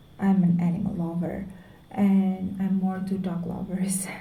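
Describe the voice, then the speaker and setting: At a fairly slow pace, a woman of medium pitch talks monotone and flat, with audible room echo. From Indonesia. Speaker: vlogger. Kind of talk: personal vlog monologue. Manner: halting.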